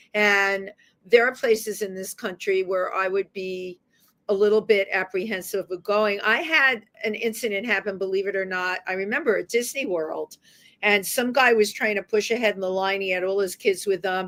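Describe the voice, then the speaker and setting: A woman with a New York accent, medium-pitched, at a moderate pace with fairly even intonation. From New York City, the Bronx. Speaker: radio talk show host. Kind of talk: interview.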